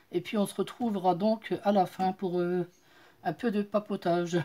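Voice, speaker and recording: On a very clean recording with a silent background, a woman with a dark, mellow tone talks at a fairly slow pace, medium pitch and fairly even intonation. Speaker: craft YouTuber. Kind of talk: tutorial. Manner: halting, many hesitations.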